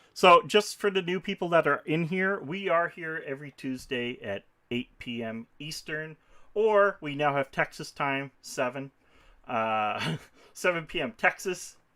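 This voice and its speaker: Here is a man with a normal speaking voice and a fairly high pitch. His intonation is lively, and his pace fairly slow. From Newfoundland, Canada. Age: 40s. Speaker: podcast co-host. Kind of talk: casual live-stream chat.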